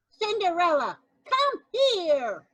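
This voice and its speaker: A woman's put-on character voice at an extremely high pitch, with very wide pitch swings. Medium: read story. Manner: bossy, snippy.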